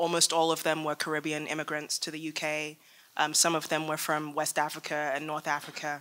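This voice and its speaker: A woman speaks with a very deep, low pitch and a bright, sharp tone. Her intonation stays monotone and flat. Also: fairly quick pace. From England. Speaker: faith organizer and panelist. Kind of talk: panel talk. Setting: stage with audience. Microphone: podium.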